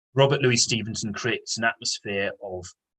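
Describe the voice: The text gets plain reading aloud, its pitch showing ordinary variation.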